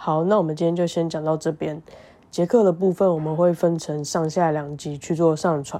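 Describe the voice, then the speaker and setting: At a moderate pace, a woman speaks in a fairly low, dark and mellow voice with fairly even intonation. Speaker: podcast co-host, former exchange student. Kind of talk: casual chat; podcast outro.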